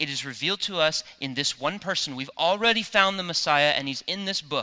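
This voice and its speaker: Lively in intonation, a man with an American accent and a bright, sharp tone speaks at a fairly quick pace. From United States. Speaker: pastor. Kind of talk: sermon. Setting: church.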